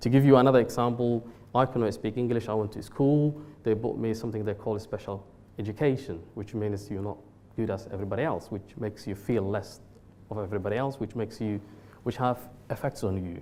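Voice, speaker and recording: Talking at a very fast pace, a man with a medium-pitched voice and a dark, mellow tone shows ordinary pitch variation. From Somalia. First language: Somali. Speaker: social enterprise CEO. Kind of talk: talk to a seminar audience. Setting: venue with live audience.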